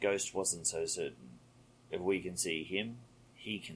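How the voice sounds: Just a natural reading voice.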